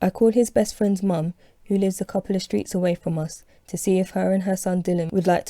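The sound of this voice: The intonation is fairly even throughout. It comes in an unforced reading voice.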